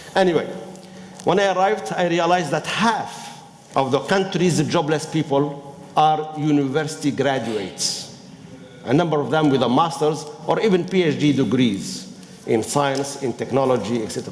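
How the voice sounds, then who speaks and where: With a strong non-native accent, a man speaks at a moderate pace in a fairly high pitch and ordinary pitch variation. Room echo is audible, and background noise is noticeable. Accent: strong foreign accent in all languages. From Tunisia. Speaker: business school professor and former minister. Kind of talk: panel talk. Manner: halting.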